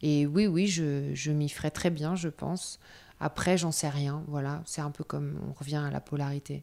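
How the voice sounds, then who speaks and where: A woman's very deep, low voice with a dark, mellow tone, monotone and flat in intonation, at a fairly slow pace, in a very clean recording with a silent background. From Paris suburbs, France. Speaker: nomadic yoga practitioner. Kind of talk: interview testimony.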